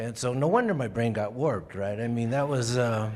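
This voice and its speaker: A man with an American accent speaks at a fairly low pitch with ordinary pitch variation, with audible room echo around him. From Colorado (Florence, rural southern Colorado). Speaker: crime novelist. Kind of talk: interview. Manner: halting.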